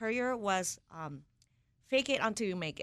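A woman's fairly high, bright, sharp voice with a Japanese accent, lively intonation and a moderate pace. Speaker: executive chef. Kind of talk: interview.

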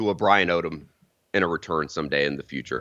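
The background stays quiet. A man's voice, with vocal fry, moves at a fairly quick pace. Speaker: college football reporter. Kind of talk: casual sports talk.

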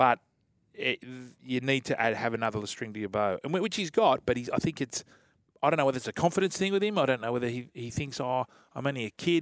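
A man with an Australian accent talks at a very fast pace. His medium-pitched voice has lively intonation. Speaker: radio co-host, former rugby league player. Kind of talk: casual sports radio chat. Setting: radio studio.

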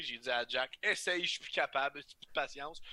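This man talks fairly quickly with a Quebec accent and a fairly high pitch. His tone is bright and sharp, and the sound is dry and close with no echo. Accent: Québécois French. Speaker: guest podcaster. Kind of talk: casual chat. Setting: video call.

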